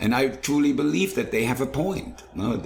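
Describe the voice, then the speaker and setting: A man is talking in a space with audible room echo. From Germany. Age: 60s. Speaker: chef and food truck owner. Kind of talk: casual interview.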